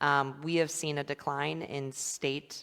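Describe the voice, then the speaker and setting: A woman's very deep, low voice in a monotone, flat intonation at a fairly slow pace, on a very clean recording with a silent background. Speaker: university foundation staff, panelist. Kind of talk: panel Q&A answer. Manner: polite, measured.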